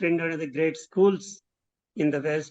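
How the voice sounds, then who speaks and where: A man speaks with an Indian accent. His pitch is high. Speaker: design professor. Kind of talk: interview conversation. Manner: halting.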